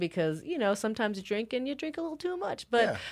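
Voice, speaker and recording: Her pitch swinging very widely, a woman speaks in a very clean recording with a silent background. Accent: West Coast. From northern California. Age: 30s. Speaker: mixed martial arts fighter. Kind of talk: casual chat.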